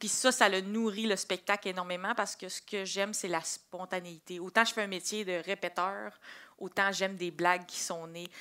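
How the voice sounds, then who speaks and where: Over a very clean recording with a silent background, a woman with a Quebec accent speaks in a bright, sharp tone, flat and monotone, with big swings in loudness. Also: medium pitch for a woman, moderate pace. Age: 20s. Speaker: comedian. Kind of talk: interview.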